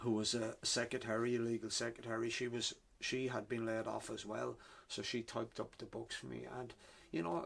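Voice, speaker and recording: A man speaks in a flat monotone with a Wexford Irish accent. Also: medium pitch for a man, fairly quick pace. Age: 60s. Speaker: author. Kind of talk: interview. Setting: bookshop. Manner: halting, repeats words.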